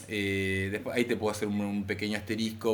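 Talking very fast with a Rioplatense accent, a man uses a fairly low pitch and flat, monotone intonation over noticeable background noise and audible room echo. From Argentina. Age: 40s. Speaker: author. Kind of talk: casual interview. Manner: halting, many fillers.

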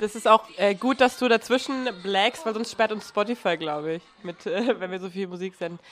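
A woman with an ordinary speaking voice talks at a moderate pace and a medium pitch, with ordinary pitch variation. She leaves hardly any pauses, and her loudness swings widely. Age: 20s. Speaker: podcast host. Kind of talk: casual chat.

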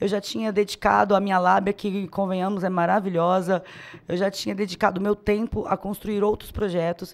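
The speech moves at a moderate pace in a monotone with flat intonation. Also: woman, medium pitch for a woman. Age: 30s. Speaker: city councillor. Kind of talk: casual chat.

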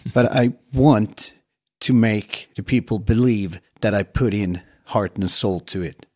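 Against a quiet background, a man with a dark, mellow tone and fairly low pitch speaks at a fairly slow pace with ordinary pitch variation, the sound dry and close with no echo. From southern Sweden (Skåne countryside). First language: Swedish. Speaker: actor. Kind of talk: casual interview.

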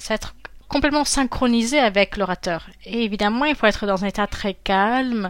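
A woman talks at a moderate pace in a normal speaking voice. Her voice is fairly high, with ordinary pitch variation. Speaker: interpreter and voice actor. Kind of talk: interview answers, conversational.

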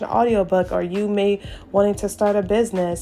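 A woman's medium-pitched voice at a moderate pace, with fairly even intonation and noticeable background noise. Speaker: podcast host and content creator. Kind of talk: casual solo talk with tips. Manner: conversational with frequent fillers and laughs.

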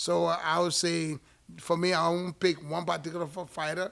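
A man with an American accent uses a normal speaking voice at a fairly high pitch. He talks at a fairly slow pace with fairly even intonation. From outside the US. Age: 50s. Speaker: boxing podcast co-host and former fighter. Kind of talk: casual chat. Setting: boxing gym.

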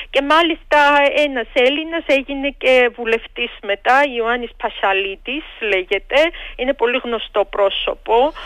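A woman with a Georgian accent and high pitch, ordinary pitch variation, fairly slow pace. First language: Georgian (speaking Greek). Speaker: history professor. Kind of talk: radio interview.

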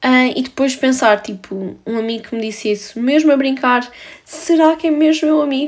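A woman with a high pitch speaks in a European Portuguese accent. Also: ordinary pitch variation, moderate pace. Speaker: podcaster. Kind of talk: solo monologue, casual confessional. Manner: casual, filler-heavy.

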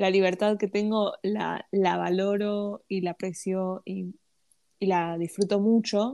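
Speaking very slowly, a woman with a dark, mellow tone at medium pitch keeps a monotone, flat delivery, recorded dry and close with no echo and a quiet background. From Argentina. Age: 20s. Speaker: podcast co-host. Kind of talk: casual chat.

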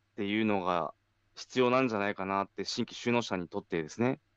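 A man with an ordinary speaking voice talks at a fairly low pitch with ordinary variation. The sound is dry and close with no echo, and the background is quiet. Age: 30s. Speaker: farmer and podcast host. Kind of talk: casual chat.

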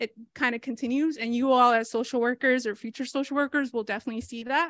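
A woman's high voice with an American accent, fairly quick pace and fairly even intonation, in a very clean recording with a silent background and a dry, close sound with no echo. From Rhode Island, US. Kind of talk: lecture. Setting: stage with audience. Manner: casual with many fillers (um).

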